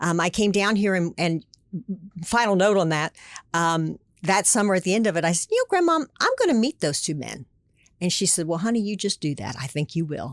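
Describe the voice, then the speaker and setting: An unremarkable speaking voice at a fairly quick pace, with ordinary pitch variation and a dry, close sound that has no echo. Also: woman, medium pitch for a woman. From Pennsylvania. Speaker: former state politician. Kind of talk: interview.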